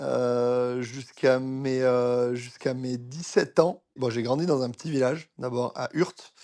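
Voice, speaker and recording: A man speaks in a medium pitch with a dark, mellow tone. He keeps his intonation fairly even and hardly pauses at all. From France, Basque Country. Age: 30s. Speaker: former pro cyclist, coach. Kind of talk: interview conversation. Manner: hesitant, many fillers.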